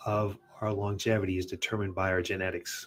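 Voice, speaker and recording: Somewhat breathy male voice with an American accent at a moderate pace. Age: 60s. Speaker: fitness studio owner and podcast host. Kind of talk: personal story on a podcast.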